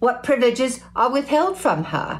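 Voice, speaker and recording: Noticeable background noise surrounds a woman whose voice is pitched high. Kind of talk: historical speech reading.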